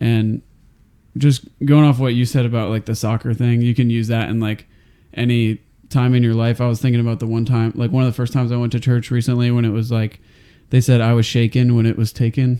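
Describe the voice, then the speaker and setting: With an American accent, a man talks at a fairly quick pace in a dark, mellow tone and a monotone, flat intonation. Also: medium pitch for a man. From Ohio. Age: 20s. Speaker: podcast host. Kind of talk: casual chat.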